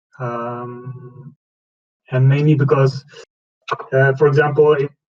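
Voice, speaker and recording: A man with a non-native accent speaks very slowly at a medium pitch, somewhat breathy, with monotone, flat intonation. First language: not English. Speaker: community member asking questions. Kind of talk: question on community call. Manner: halting.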